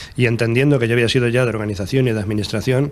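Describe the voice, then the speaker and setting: A man's intonation stays fairly even as he talks at a very fast pace. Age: 60s. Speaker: trade union leader. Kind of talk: TV interview.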